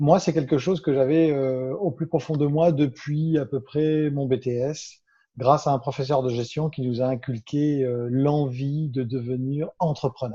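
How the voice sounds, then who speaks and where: A man talks at a fairly slow pace in a fairly high pitch, somewhat breathy. His tone is dark and mellow, with fairly even intonation. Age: 50s. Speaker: business consultant. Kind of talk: interview. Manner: hesitant, many fillers.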